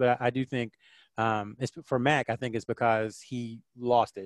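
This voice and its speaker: A man with a Southern US accent, medium pitch, monotone flat intonation, and a dry, close sound with no echo. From North Carolina, near Fort Bragg. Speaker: sports writer and communications consultant. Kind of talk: casual interview.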